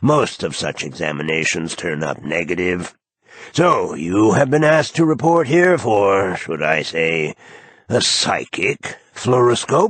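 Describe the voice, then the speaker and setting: A man puts on a robotic, raspy character voice, talking at a fairly slow pace with very wide pitch swings. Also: fairly low pitch for a man. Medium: read story. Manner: condescending, clinical.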